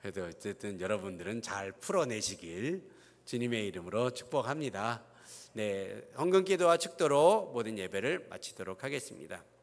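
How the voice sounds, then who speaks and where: Very wide pitch swings run through this man's medium-pitched speech. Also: moderate pace. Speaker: pastor. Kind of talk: church announcements and prayer. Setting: church. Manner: slurred articulation today.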